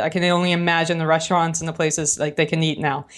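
Over a quiet background, a woman with an American accent speaks at a fairly low pitch in a monotone, flat intonation. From New Orleans, US South. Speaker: product manager. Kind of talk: casual podcast interview.

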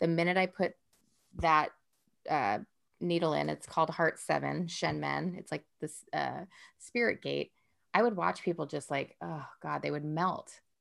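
A woman talks at a fairly slow pace with long, frequent pauses, in a very clean recording with a silent background. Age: 40s. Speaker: wellness teacher and former chef. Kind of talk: casual chat.

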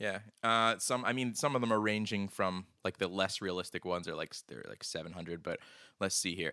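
A man's fairly low, bright and sharp voice with an American accent, fairly quick pace and ordinary pitch variation. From Philadelphia area. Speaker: podcast host. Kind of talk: casual chat.

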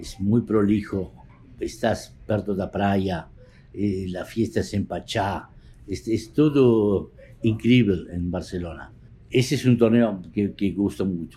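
Somewhat breathy and dark, mellow in tone, a man speaks at a fairly low pitch with ordinary pitch variation, at a very slow pace with long, frequent pauses. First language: Spanish (speaking Portuguese). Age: 60s. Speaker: poker photographer. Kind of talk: interview.

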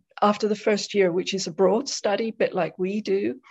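Over a quiet background, a woman speaks with an English accent. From southwest England, Devon. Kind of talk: interview.

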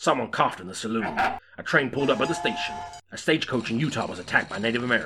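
Lively intonation marks this plain reading aloud.

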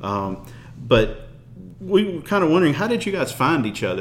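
With a Memphis accent, a man talks at a fairly quick pace and fairly high pitch, with very wide pitch swings over noticeable background noise. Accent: Southern US (Memphis). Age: 40s. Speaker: podcast host. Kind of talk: casual interview; show wrap-up with promotion.

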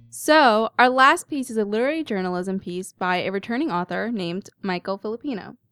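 On a very clean recording with a silent background and a dry, close sound with no echo, a woman with a normal speaking voice talks at a fairly quick pace in a fairly high pitch. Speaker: student podcast host. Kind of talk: casual chat.

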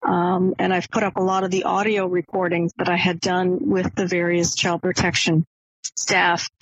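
A woman with an American accent speaks in an unremarkable speaking voice at a medium pitch and moderate pace. Her intonation is fairly even and her loudness very even. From Maine, US. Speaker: academic and author. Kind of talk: interview.

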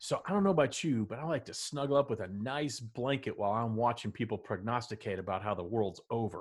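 An American-accented man at medium pitch talks very fast with hardly any pauses, somewhat breathy, with an animated tone and lively intonation, on a very clean recording with a silent background. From Texas, Dallas. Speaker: podcast co-host. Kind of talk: casual chat.

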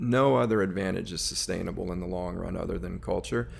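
This man's voice is very deep and low, with vocal fry. His pitch swings very widely. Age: 40s. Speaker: entrepreneur, company CEO. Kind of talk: interview. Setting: studio.

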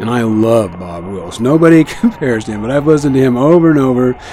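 A man with an American accent, medium pitch, lively intonation and a relaxed tone, at a moderate pace over noticeable background noise. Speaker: radio host. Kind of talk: live radio broadcast. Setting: shortwave radio studio. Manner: relaxed, rambling with fillers.

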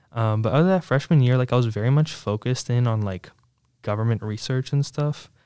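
Dark and mellow in tone, a man with an American accent talks at a fairly quick pace on a very clean recording with a silent background. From Virginia, Williamsburg area. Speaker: student organization leader. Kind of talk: interview. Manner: casual, many fillers.

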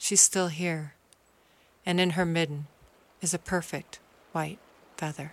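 A woman speaks at a fairly low pitch and fairly slow pace, with long, frequent pauses and monotone, flat intonation. The recording is very clean with a silent background. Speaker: essayist reading her own essay. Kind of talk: dramatic narration, reading aloud essay in second person. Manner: guiding, instructive tone, like leading a tour.

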